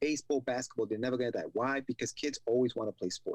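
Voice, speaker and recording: A man's medium-pitched voice at a very fast pace, dry and close with no echo. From Ecuador. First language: Spanish. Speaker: podcast host. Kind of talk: casual interview chat.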